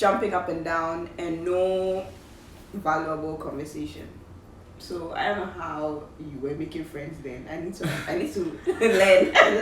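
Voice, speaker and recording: A woman with a fairly low pitch talks at a fairly slow pace with fairly even intonation and big swings in loudness, with audible room echo and noticeable background noise. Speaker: YouTuber, university student. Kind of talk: casual chat.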